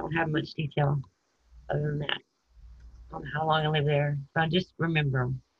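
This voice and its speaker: A woman with a Texan accent speaks at a very deep, low pitch in a flat monotone, somewhat breathy, with big swings in loudness. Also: moderate pace. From Texas, San Antonio and Houston. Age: 50s. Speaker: person telling her life story. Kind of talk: interview.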